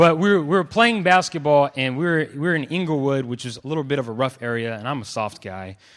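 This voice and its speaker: A man with an American accent speaks at a fairly quick pace in a fairly high voice, his lively intonation and animated tone carried by big swings in loudness, with hardly any pauses and a quiet background. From California (Clovis, family from Los Angeles). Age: 20s. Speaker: preacher. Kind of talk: sermon. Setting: stage with audience.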